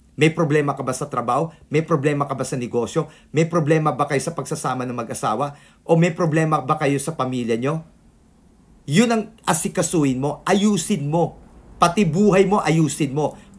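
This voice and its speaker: A man speaks in a fairly high, somewhat breathy voice with ordinary pitch variation. The recording is very clean, with a silent background. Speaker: feng shui consultant. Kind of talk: video tutorial and life advice. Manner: halting, stuttering.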